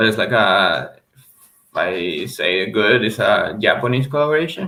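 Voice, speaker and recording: This man's voice sits at a medium pitch. It moves through very wide pitch swings. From Venezuela. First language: Spanish. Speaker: reseller. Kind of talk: casual livestream chat. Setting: livestream. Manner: halting, repeats words.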